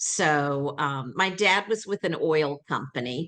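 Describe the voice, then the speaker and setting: A woman with a Southern accent, her pitch very deep and low, at a very slow pace against a quiet background. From US South, Atlanta. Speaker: training school founder. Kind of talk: interview.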